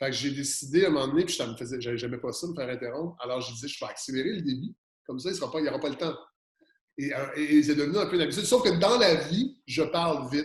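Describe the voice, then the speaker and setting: A man's animated voice at a very fast pace, fairly high in pitch with ordinary pitch variation and big swings in loudness. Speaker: podcaster. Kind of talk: interview.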